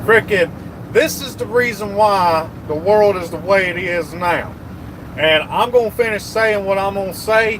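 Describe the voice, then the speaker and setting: Over noticeable background noise, a man speaks in an animated tone at a moderate pace, with a high pitch and ordinary pitch variation. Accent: Southern US. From US South, rural Georgia. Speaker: truck driver livestreamer. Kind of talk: live stream chat.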